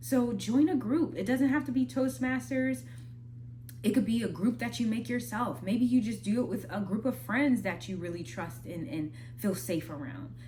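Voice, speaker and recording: A woman with an American accent and a fairly low voice speaks at a moderate pace with very wide pitch swings, amid noticeable background noise and audible room echo. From Minnesota. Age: 20s. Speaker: spoken word artist and vlogger. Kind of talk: casual advice talk. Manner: conversational, slightly halting.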